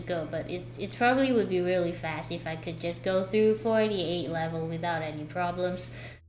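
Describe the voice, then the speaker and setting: Over noticeable background noise and audible room echo, a woman with a fairly low pitch talks at a fairly quick pace with lively intonation and hardly any pauses. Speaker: VTuber streamer. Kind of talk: casual live stream chat. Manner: soft-spoken.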